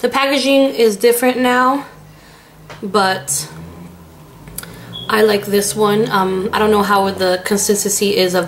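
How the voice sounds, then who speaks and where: With ordinary pitch variation, a woman speaks at a medium pitch amid noticeable background noise. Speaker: beauty vlogger. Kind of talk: product review vlog.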